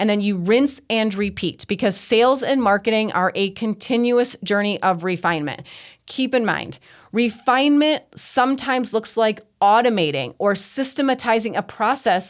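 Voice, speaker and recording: In a normal speaking voice, a woman with a fairly high pitch speaks at a moderate pace with ordinary pitch variation and very even loudness, on a very clean recording with a silent background. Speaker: financial coach and podcast host. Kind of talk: solo podcast teaching. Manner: conversational, frequent 'right?' and 'okay?' tags.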